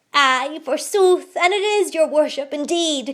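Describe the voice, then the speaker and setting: A woman uses a put-on character voice, raised and projected at a high pitch. She cackles at a fairly slow pace. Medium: read story. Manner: cackling, archaic speech.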